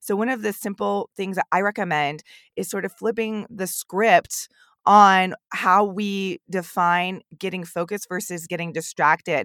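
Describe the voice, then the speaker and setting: In a dry, close sound with no echo, a woman speaks in a normal speaking voice at medium pitch, fairly slow and with fairly even intonation. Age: 30s. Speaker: podcast host and academic advisor. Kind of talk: interview. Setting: remote call.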